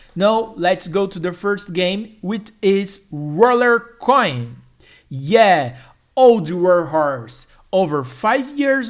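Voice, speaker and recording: A very slow pace in a Brazilian Portuguese accent. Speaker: YouTuber. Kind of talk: tutorial. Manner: halting.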